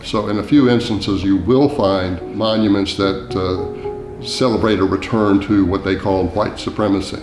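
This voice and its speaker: A man's fairly low voice at a moderate pace, with ordinary pitch variation, music in the background and audible room echo. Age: 70s. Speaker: author. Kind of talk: documentary interview.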